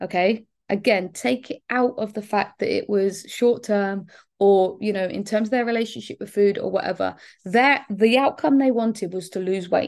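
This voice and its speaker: Against a quiet background, a woman speaks with a southern English accent. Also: medium pitch for a woman, ordinary pitch variation, moderate pace. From southern England, Bournemouth. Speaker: fitness and weight-loss business coach. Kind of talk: solo podcast monologue. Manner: casual, many filler words.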